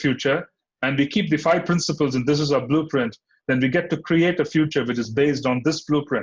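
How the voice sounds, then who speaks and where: Somewhat breathy and fairly high in pitch, a man speaks at a fairly quick pace. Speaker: spiritual teacher. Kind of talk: scripture class lecture.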